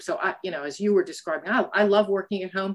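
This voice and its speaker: In an American accent, a woman speaks at a fairly quick pace and a medium pitch. It is an ordinary speaking voice. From United States. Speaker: academic and board advisor. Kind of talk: interview.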